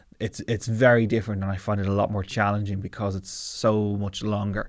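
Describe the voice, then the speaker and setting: On a very clean recording with a silent background, a man with an Irish accent speaks at a fairly low pitch in a monotone, flat intonation. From Ireland, Navan, County Meath. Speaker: comedian. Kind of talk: casual chat.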